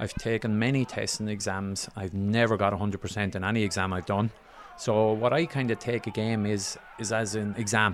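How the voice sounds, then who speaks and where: Over music in the background, a man speaks in an Irish accent at a moderate pace. His pitch is fairly low and his intonation fairly even. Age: 40s. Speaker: referee. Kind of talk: interview.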